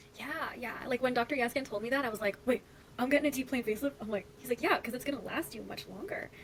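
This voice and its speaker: Over noticeable background noise, a woman with a Canadian accent talks very fast at a high pitch, with ordinary pitch variation and big swings in loudness. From Canada. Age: 30s. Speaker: content creator. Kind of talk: casual chat.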